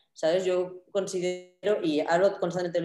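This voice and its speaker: At a fairly quick pace, a woman with a fairly low pitch and a dark, mellow tone speaks against a quiet background with audible room echo. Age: 30s. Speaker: media artist and creative programmer; presenter. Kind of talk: conference talk over video call. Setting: video call. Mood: enthusiastic, relaxed. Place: home room. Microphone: video call.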